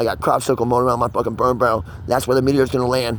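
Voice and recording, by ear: A man talks at a very fast pace. His pitch moves very little.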